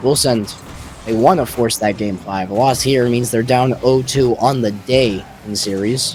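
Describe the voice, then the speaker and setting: Against noticeable background noise, a man with an American accent speaks at a moderate pace. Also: medium pitch for a man. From United States. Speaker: esports caster. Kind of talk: live commentary. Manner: animated.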